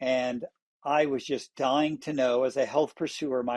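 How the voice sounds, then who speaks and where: A man's monotone, flat intonation over a quiet background. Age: 60s. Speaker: retired airline pilot, client giving testimony. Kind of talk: testimony interview. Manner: halting with fillers.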